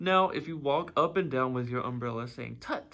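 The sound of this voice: An unforced reading voice carries the whole clip.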